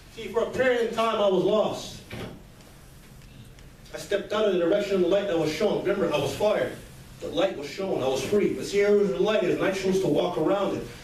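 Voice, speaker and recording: Background noise is noticeable throughout. The speech moves fairly quickly, and its pitch varies in an ordinary way. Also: man, long, frequent pauses. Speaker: motivational speaker. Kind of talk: motivational speech.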